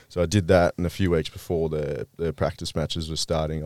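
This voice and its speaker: A man with an Australian accent, very deep and low in pitch, monotone and flat in intonation, at a fairly quick pace. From Victoria, Australia. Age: 20s. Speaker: Australian rules footballer. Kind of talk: casual chat.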